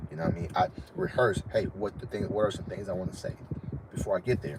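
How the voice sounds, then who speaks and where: A man's fairly low voice at a very fast pace, over noticeable background noise. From Florida. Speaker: dating and confidence coach, live streamer. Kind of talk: casual live stream advice talk. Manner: naturally fast talker; casual, repetitive fillers.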